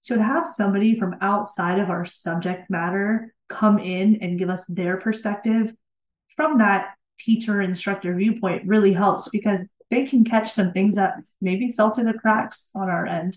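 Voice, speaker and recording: A woman speaks with a medium pitch in a plain, everyday voice. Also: ordinary pitch variation, moderate pace. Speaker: instructional designer. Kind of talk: interview conversation.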